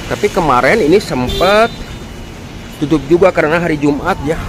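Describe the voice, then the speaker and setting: With lively intonation and a fairly high pitch, a man talks at a moderate pace against noticeable background noise. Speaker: vlogger. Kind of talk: vlog walkthrough narration. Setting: outdoors then hospital.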